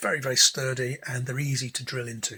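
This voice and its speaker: This voice has an English accent and a bright, sharp tone. It moves at a very fast pace. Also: man. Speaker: DIY guitar pedal maker. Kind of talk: tutorial. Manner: casual rambling with many fillers.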